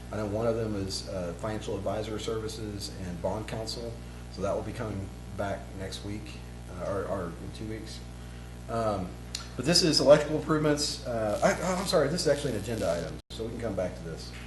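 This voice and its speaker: A man with an American accent at a fairly quick pace, with noticeable background noise and audible room echo. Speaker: city administrator. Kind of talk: council meeting report. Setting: city council meeting. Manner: fast.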